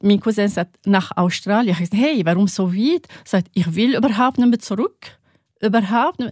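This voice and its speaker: A woman speaks at a moderate pace in a somewhat breathy voice, with big swings in loudness. The sound is dry and close, with no echo. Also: medium pitch for a woman, ordinary pitch variation. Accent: Arabic. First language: Arabic (speaking German). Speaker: religion teacher. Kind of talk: interview. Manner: halting.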